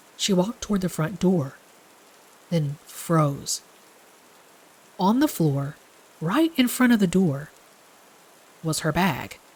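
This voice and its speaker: A woman's voice sits at a medium pitch. It has a somewhat breathy quality. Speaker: horror story narrator. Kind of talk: horror story narration.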